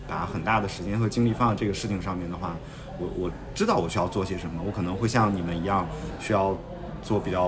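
A man's fairly low, flat, monotone voice amid audible room echo and noticeable background noise. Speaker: podcast host. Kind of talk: casual chat.

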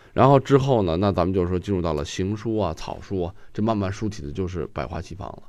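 At a very fast pace with hardly any pauses, a man speaks at a very deep, low pitch, with ordinary pitch variation and big swings in loudness. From Guangdong, China. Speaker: calligrapher. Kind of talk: casual discussion.

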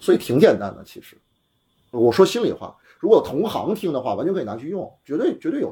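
This man talks at a very fast pace. His loudness swings widely. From Beijing. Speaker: entrepreneur, car repair shop and cafe founder. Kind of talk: casual chat. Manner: fast, talkative.

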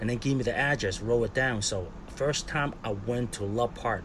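Here is a man with an American accent and a medium pitch. He moves at a moderate pace with ordinary pitch variation. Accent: Cantonese-tinged American English. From Hong Kong and Philadelphia. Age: 40s. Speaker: skateboarder. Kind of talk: casual interview.

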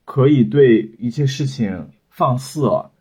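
A man with a medium pitch has a dark, mellow tone and sounds somewhat breathy. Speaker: new media professional, former software engineer. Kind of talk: casual chat.

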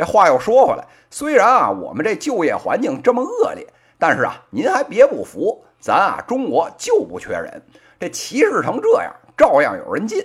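Animated in tone, a man with a strong Beijing accent speaks at a moderate pace with big swings in loudness. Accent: strong Beijing accent with heavy erhua. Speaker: podcast host, business commentator. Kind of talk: opinion commentary. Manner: animated, colloquial Beijing storytelling.

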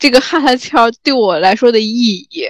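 Her delivery is fairly slow, with lively intonation. The woman's fairly high pitch comes through as a dry, close sound with no echo. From rural China. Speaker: podcast host. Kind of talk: casual chat.

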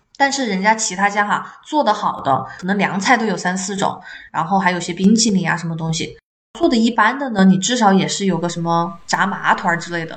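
Fairly quick delivery from a woman at medium pitch, ordinary pitch variation, and audible room echo. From Chongqing, China. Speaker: podcast co-host, teacher. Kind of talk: casual chat.

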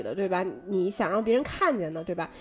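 A woman talks at a fairly quick pace with very wide pitch swings, music playing in the background. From Northeast China. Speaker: podcast co-host. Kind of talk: casual chat.

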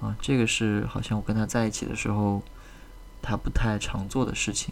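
A man speaks quietly at a moderate pace in a calm tone. His pitch is fairly low. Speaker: podcast host. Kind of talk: casual monologue. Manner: calm, quiet; hesitant, many fillers.

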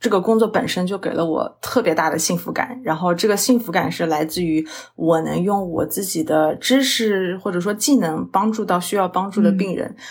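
A woman's unremarkable speaking voice, medium in pitch, at a moderate pace with hardly any pauses and ordinary pitch variation. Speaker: registered dietitian, diabetes educator. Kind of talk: interview conversation.

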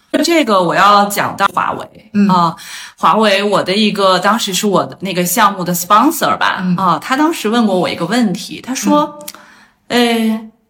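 Her bright, sharp tone and lively intonation mark this woman's medium pitch. She talks at a moderate pace. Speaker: astrologer, former user research expert. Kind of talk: casual interview chat. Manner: hesitant, many filler sounds.

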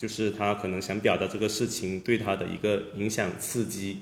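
A man speaks at a fairly low pitch with monotone, flat intonation, and the room echo is audible. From Guangdong. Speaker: sculptor and artist. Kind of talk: casual chat.

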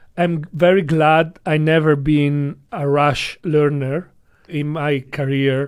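Very slow speech with an Italian accent and fairly even intonation. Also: man. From Italy. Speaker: rope bondage practitioner and instructor. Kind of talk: interview.

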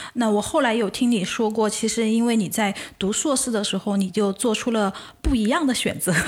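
Fairly quick speech with very even loudness, ordinary pitch variation and noticeable background noise. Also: woman, fairly high pitch for a woman. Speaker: podcast host. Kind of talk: casual chat.

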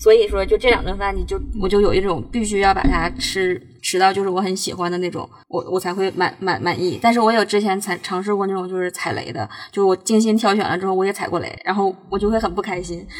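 A woman talks very fast with fairly even intonation over noticeable background noise. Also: medium pitch for a woman. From Northeast China. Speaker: food blogger. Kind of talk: casual chat. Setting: in a car.

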